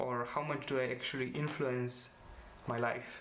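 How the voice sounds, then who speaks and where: With a Slovene accent, a man speaks at a fairly slow pace and medium pitch with fairly even intonation, amid noticeable background noise and audible room echo. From Slovenia. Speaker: student vlogger. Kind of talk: personal vlog presentation. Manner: hesitant, many fillers.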